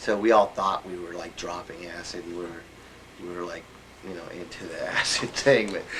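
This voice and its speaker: A man with an American accent speaks at a moderate pace, his loudness swinging widely while his intonation stays fairly even. Noticeable background noise sits under the voice. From New York. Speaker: interviewee. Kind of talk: interview. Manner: halting.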